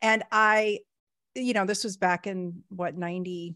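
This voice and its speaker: A woman speaks with a bright, sharp tone and ordinary pitch variation. The sound is dry with no echo, and the background is quiet. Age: 40s. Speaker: podcast host. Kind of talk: casual interview chat. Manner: halting. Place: home room. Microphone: studio mic.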